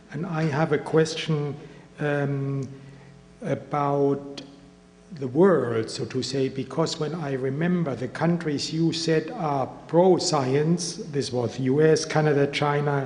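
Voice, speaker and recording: A man's fairly high pitch with a strong German accent, very slow pace and fairly even intonation, music in the background. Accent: heavy German. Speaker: audience member, international affairs. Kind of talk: audience question.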